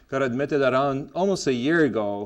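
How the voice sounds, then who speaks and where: A man speaks in a Lebanese accent. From Lebanon. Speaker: gastroenterologist, medical lecturer. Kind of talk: medical lecture. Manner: hesitant, many fillers.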